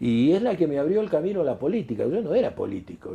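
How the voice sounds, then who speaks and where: A man's dark, mellow, somewhat breathy voice with very wide pitch swings, in a Rioplatense accent. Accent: Argentine Spanish (rioplatense). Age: 70s. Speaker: retired doctor and former politician. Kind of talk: interview. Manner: halting, frequent repetitions and fillers.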